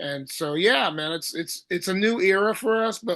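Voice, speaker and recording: With an American accent, a man talks at a moderate pace and with ordinary pitch variation over a quiet background. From Southern California. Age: 60s. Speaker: thrash metal singer. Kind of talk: interview.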